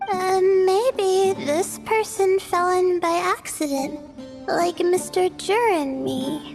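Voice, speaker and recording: In a cartoonish character voice with extremely high pitch, the speaker talks at a very slow pace while clear music plays in the background. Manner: soft-spoken, hesitant.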